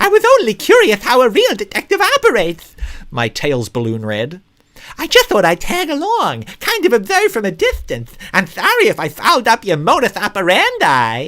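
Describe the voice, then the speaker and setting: Putting on a character voice, a man squeaks at an extremely high pitch. His speed stays moderate. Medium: read story. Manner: eager, nervous.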